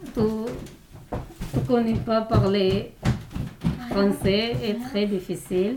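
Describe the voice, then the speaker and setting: A woman's medium-pitched voice with lively intonation, amid noticeable background noise and audible room echo. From Turkey, Kurdish. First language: Kurdish and Turkish (speaking French). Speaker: migrant woman, language learner. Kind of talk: roundtable testimony. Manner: halting.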